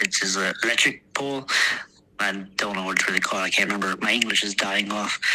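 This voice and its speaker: A man with an American accent speaks while noticeable noise carries on behind him. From Texas, US. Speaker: war veteran. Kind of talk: interview. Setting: podcast interview. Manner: halting, many fillers.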